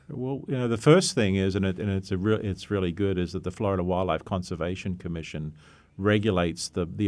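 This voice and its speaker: A man with an Australian accent, very deep, low pitch, ordinary pitch variation, and a fairly quick pace. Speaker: veterinarian, zoological medicine specialist. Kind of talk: radio interview. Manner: halting.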